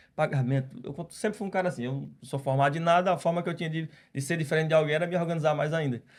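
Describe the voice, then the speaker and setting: Somewhat breathy and fairly high-pitched, a man talks very fast with ordinary pitch variation. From Brazil, Ceará (Northeast). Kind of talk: podcast interview testimony.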